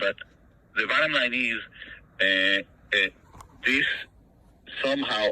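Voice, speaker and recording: With ordinary pitch variation, the speech comes through noticeable background noise. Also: man. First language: not English. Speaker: property owner in a dispute. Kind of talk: phone call negotiation. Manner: halting, many repetitions.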